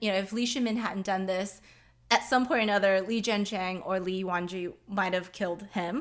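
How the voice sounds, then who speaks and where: An ordinary speaking voice from a woman with an American accent, at a moderate pace. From US, Chinese American family. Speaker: children's book author. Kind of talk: casual interview. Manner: frequent fillers (um, like).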